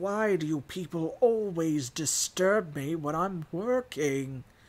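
A man puts on a character voice pitched high for a man, speaking at a fairly slow pace. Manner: irritated, grumpy.

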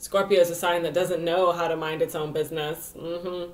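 The speaker has a normal speaking voice and a moderate pace. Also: woman. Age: 20s. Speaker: astrologer and vlogger. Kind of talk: casual vlog monologue. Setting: home video recording. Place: home room. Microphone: webcam.

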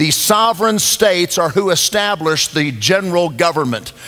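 A man speaks at a moderate pace. His voice is pitched high, with ordinary rise and fall. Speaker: pastor speaking at event. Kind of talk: sermon. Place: church.

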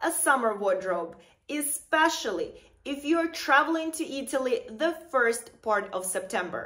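Her voice raised and projected, a woman with a bright, sharp tone speaks at a fairly slow pace with very wide pitch swings against a quiet background. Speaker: fashion vlogger. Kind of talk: casual vlog tips. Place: home room.

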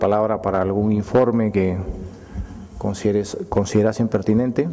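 The speaker has a Peruvian accent. The intonation stays fairly even. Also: man. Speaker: mayor chairing council. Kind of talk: formal council session. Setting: council chamber. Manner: formal. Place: hall. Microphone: podium.

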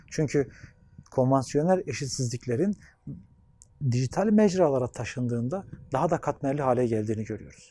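Pausing long and often, a man talks at a moderate pace in a dark, mellow tone with lively intonation and a dry sound with no echo. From Anatolia, Turkey; Turkey. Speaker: sociologist and gerontology researcher. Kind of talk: interview monologue; interview answer. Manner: formal. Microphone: lapel.

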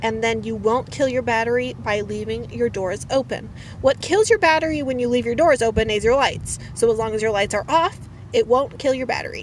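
A woman talks at a fairly quick pace. The sound is dry with no echo, over light background noise. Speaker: van life vlogger. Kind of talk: tutorial. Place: car. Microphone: phone near.

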